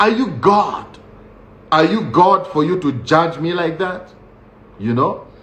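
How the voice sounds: At a slow pace, the speaker has a fairly bright tone and lively intonation, with audible room echo. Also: man.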